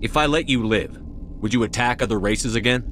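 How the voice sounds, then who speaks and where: A man puts on a character voice at medium pitch, talking very fast over clear background noise. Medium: video game. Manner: calm, direct.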